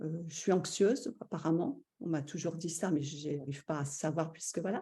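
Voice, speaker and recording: A woman speaks at a moderate pace with a fairly low pitch. Her tone is dark and mellow, and somewhat breathy. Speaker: stay-at-home mother, course participant. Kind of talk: testimony. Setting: live video stream.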